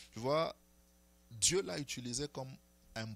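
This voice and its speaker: The recording is very clean with a silent background. A man speaks at a very slow pace. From DR Congo. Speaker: prophet. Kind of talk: interview. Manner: hesitant, many fillers.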